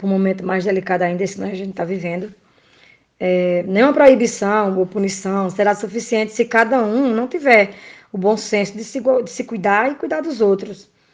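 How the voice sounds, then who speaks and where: This is a woman with an ordinary speaking voice at medium pitch. She talks at a moderate pace with ordinary pitch variation. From Brazil, Pernambuco backcountry. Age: 30s. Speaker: nursing technician. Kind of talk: interview. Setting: remote call.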